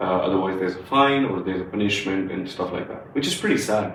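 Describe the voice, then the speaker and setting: Speaking in a strong Punjabi accent, a man with a fairly low pitch keeps a fairly even intonation, heard with audible room echo and noticeable background noise. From India, Punjab. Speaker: podcast co-host. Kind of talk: casual chat. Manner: many fillers and hesitations.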